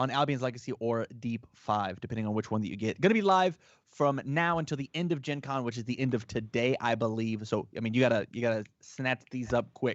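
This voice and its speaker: Delivered at a moderate pace in a strong Southern US accent, the speech has an animated tone. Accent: thick Southern US. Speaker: livestream host for a game publisher. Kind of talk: live sales stream chat. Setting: live stream. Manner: casual, animated.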